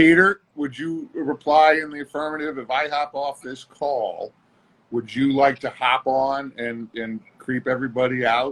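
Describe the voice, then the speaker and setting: A man speaks at a fairly slow pace with a fairly high pitch. He has an ordinary speaking voice with fairly even intonation. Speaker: co-host of live stream; former bouncer. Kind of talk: casual chat.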